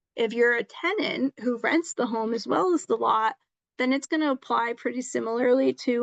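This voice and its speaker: A high-pitched woman's voice, dry and close with no echo, against a quiet background. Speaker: legal presenter. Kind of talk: presentation on tenant rights. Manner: fast; halting with many ums.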